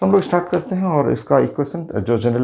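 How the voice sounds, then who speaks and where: Lively intonation runs through this man's speech. His tone is dark and mellow. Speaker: physics teacher. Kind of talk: lecture. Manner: halting.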